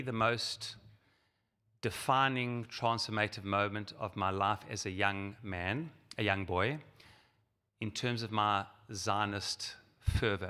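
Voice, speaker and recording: With a South African accent, a man of fairly low pitch talks at a fairly slow pace in a bright, sharp tone, leaving long, frequent pauses, on a very clean recording with a silent background. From South Africa, Johannesburg. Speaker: rabbi and Zionist organization leader. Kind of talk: keynote speech.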